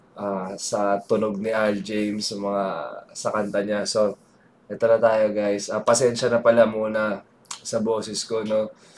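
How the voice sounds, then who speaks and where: Against noticeable background noise, a man speaks fairly slowly in a fairly low, monotone, flat voice. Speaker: music reactor and singer. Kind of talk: reaction video commentary.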